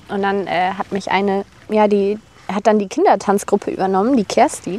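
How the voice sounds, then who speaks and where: Noticeable background noise under fairly quick talk. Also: woman. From Germany, Rhineland (Bonn). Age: 20s. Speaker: personal trainer. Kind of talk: casual interview chat.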